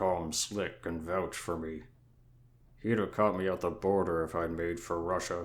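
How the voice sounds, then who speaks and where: A man's raspy, very deep, low put-on character voice, monotone and flat, in a very clean recording with a silent background. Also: moderate pace. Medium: solo performance.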